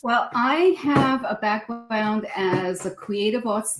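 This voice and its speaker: A woman speaks very slowly in a somewhat breathy voice with lively intonation. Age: 60s. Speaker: psychotherapist and qigong teacher. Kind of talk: interview. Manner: halting, repeats words.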